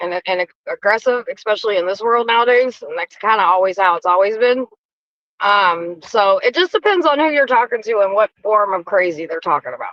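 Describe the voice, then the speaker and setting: Lively in intonation, a woman talks at a fairly quick pace and fairly high pitch. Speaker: livestream co-host. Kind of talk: casual chat. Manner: loud; assertive.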